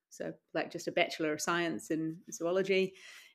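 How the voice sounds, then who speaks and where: The speaker has a New Zealand accent and keeps a moderate pace. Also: woman, very clean recording, silent background. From New Zealand, Wellington. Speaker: doctor and adventurer. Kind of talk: interview. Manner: casual, hesitant with fillers.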